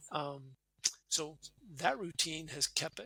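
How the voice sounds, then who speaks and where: A man with an Upper Midwest accent at a fairly slow pace. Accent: Upper Midwest American. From US Midwest (Wisconsin). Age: 60s. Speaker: retired military officer and career coach. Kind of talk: casual interview.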